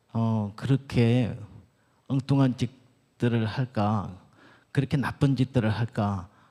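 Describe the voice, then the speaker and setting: A man with a dark, mellow tone at a very slow pace. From Gyeongsang region, Korea. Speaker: doctor and church elder giving a lecture. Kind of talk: lecture. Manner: halting.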